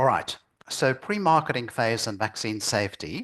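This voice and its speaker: A man speaks at a moderate pace and medium pitch with ordinary pitch variation, in a plain, everyday voice. The sound is dry and close with no echo, over a quiet background. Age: 60s. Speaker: lecturer on vaccine safety. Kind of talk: lecture.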